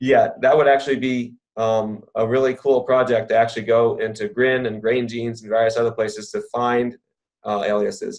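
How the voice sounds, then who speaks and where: A man speaks at a medium pitch in a monotone, flat intonation. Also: moderate pace. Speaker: research informatics scientist. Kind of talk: webinar Q&A. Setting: online webinar. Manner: halting with many fillers.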